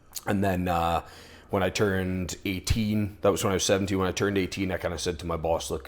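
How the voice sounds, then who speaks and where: Talking at a very fast pace, a man has a very deep, low voice and a slight Scottish accent. His intonation is monotone and flat. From Scotland, Aberdeen. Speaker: HVAC business owner, former strongman. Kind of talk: interview.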